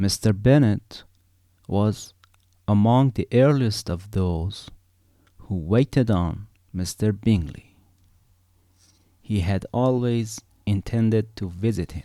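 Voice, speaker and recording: With a non-native accent, a man speaks very slowly at a fairly low pitch with a dark, mellow tone, ordinary pitch variation, and long, frequent pauses, in a very clean, dry, close recording with no echo and a silent background. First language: not English. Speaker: amateur reader. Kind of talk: audiobook reading.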